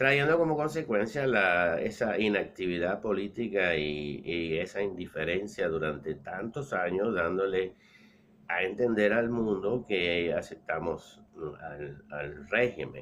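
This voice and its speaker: With a Cuban accent, a man speaks at a very deep, low pitch. His pace is very slow, his intonation lively. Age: 60s. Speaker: political commentator. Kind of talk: political monologue. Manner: halting, with repeated words.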